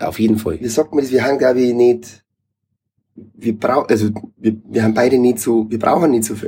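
With a Bavarian accent, a man talks at a fairly quick pace in a dark, mellow tone and ordinary pitch variation. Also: medium pitch for a man. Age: 30s. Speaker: reggae musician. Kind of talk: casual chat.

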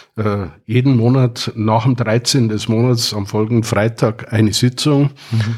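This man speaks at a fairly slow pace in a medium pitch, somewhat breathy. His intonation stays fairly even. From Bavaria, Wartenberg (Upper Bavaria). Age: 60s. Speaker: retired IT company founder. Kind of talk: casual chat. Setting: at a home.

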